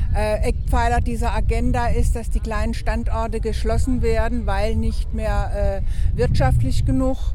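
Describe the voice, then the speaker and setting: Fairly slow speech with noticeable background noise. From Baden, Oberkirch. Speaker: protester. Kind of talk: street interview. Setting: outdoors at a town square.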